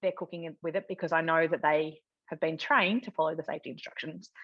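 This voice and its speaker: Very fast speech in an Australian accent, with a dry, close sound, no echo and a quiet background. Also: woman. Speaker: cooking demonstrator. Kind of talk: live cooking demonstration. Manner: loud.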